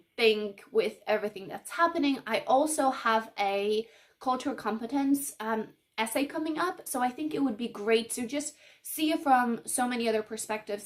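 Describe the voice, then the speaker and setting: Lively intonation from a woman with a Polish accent, at a moderate pace. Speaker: book vlogger. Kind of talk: casual vlog talk. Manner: casual, with many fillers.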